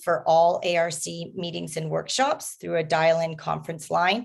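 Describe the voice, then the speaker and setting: A moderate pace from a woman with a fairly low voice. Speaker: advisory committee member chairing workshop. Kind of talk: public meeting facilitation. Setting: video call. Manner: hesitant, many fillers.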